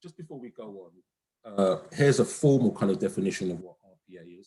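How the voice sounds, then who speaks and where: A man speaks at a fairly quick pace with very wide pitch swings. His voice is somewhat breathy, with a dark, mellow tone. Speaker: conference presenter, economist. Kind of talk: academic presentation. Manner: hesitant, many fillers; soft-spoken. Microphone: too quiet, far from the mic.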